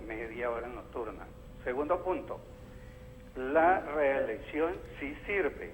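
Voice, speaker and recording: The recording has audible room echo. Background noise is also noticeable. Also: man. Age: 60s. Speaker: caller, artisan. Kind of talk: phone-in opinion on political TV show.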